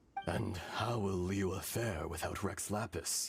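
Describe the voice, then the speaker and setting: A raspy, put-on character voice from a man. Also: fairly low pitch for a man, fairly slow pace. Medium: video game. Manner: formal, grave, archaic.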